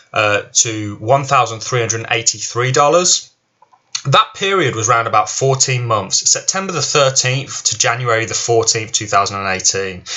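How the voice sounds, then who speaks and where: The man talks at a moderate pace and a medium pitch. His pitch varies in an ordinary way. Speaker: crypto YouTuber. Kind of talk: solo video commentary. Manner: halting with fillers and repetitions.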